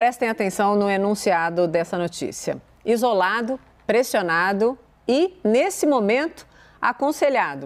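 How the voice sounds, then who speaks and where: A woman speaks fairly slowly at a fairly high pitch, her loudness very even. Her pitch swings very widely. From Brazil. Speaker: TV news anchor. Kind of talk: TV news presentation. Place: studio. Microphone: lapel.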